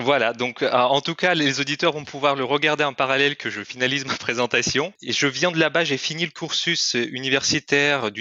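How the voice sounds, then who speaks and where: A man with a medium pitch talks at a moderate pace, his intonation fairly even. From Kyrgyzstan. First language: Russian (speaking French). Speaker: corporate training manager. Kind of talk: podcast interview. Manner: hesitant, many fillers.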